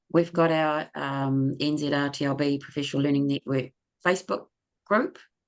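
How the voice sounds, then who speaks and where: A woman with a very deep, low pitch, at a moderate pace over a quiet background. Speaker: webinar co-host, learning support teacher. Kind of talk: online webinar closing remarks.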